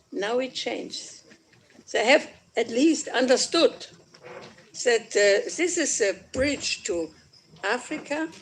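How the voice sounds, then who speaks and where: A woman with a German accent speaks at a very slow pace in a high voice, her pitch swinging very widely, with long, frequent pauses and noticeable background noise. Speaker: politician. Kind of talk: conference speech. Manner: halting.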